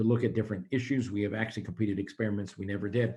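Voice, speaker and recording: Intonation remains fairly even throughout. There is a somewhat breathy quality to the voice. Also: man. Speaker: physician scientist and professor. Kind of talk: Q&A after a seminar lecture. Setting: video call. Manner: fast.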